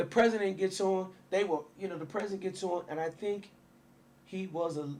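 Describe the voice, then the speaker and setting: A loud man with an American accent and a high voice for a man talks at a moderate pace over noticeable background noise. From Waukegan, Illinois. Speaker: city mayor. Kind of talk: interview. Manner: animated.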